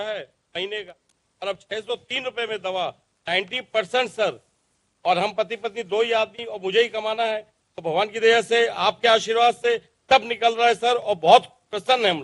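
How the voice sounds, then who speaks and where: At a moderate pace, a man with a high pitch and fairly even intonation speaks with big swings in loudness, the sound dry and close with no echo. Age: 60s. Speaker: salesman, medicine beneficiary. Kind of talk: testimony. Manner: formal.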